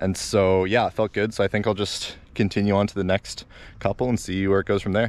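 A man speaks at a fairly quick pace in a fairly low pitch, with a slightly mellow tone and little pitch movement.

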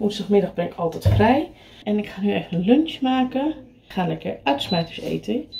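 Very wide pitch swings at a moderate pace, over light background noise. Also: woman. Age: 40s. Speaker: vlogger. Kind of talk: casual vlog talk.

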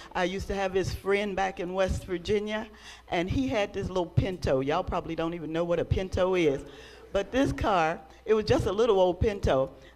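A woman talks at a fairly quick clip. Her pitch varies in an ordinary way. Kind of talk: exhortation during worship service. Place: church. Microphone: handheld.

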